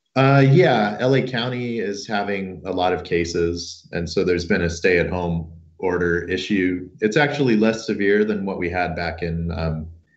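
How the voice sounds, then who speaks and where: Audible room echo surrounds this recording of a man. His very deep, low voice moves with ordinary pitch variation. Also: moderate pace. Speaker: engineering academic. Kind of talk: casual chat.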